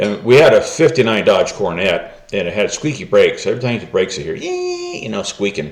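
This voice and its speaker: Against noticeable background noise, a man with an American accent talks at a moderate pace. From US West, California Bay Area. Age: 70s. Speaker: retired man telling his life story. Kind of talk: personal storytelling monologue. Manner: casual, halting with many fillers.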